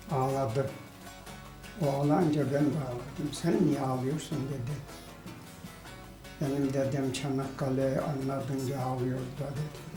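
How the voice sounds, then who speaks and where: A man with a fairly high voice speaks at a very slow pace in a flat monotone, leaving long, frequent pauses, with music playing in the background. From Kayseri, Turkey. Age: 70s. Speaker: villager. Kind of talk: interview answer.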